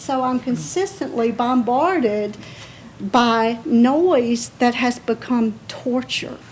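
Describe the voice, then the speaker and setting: There is noticeable background noise as a woman speaks in a high voice with ordinary pitch variation. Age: 60s. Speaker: resident speaking at public comment. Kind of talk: public comment at city council meeting. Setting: city board meeting.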